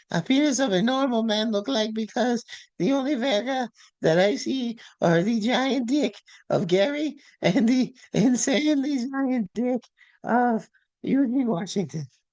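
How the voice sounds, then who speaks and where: A woman uses a put-on character voice, high in pitch and very even in loudness. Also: moderate pace. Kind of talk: comic overacting. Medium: comedy sketch. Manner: halting, mumbling broken English.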